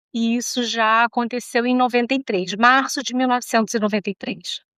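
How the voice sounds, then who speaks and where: A plain, everyday voice from a woman, fairly high in pitch, with fairly even intonation and a moderate pace, dry, close sound with no echo, and a very clean recording over a silent background. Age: 60s. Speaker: psychologist. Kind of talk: interview.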